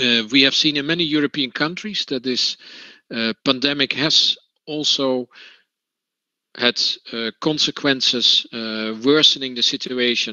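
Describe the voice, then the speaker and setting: A man with a Dutch accent speaks with long, frequent pauses and ordinary pitch variation. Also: medium pitch for a man, fairly slow pace. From Netherlands. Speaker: trade union representative. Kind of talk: conference talk. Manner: halting, many fillers.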